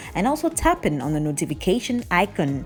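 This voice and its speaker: Speaking at a fairly quick pace, a woman shows vocal fry and very wide pitch swings. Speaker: international student, vlogger. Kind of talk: scripted tips video.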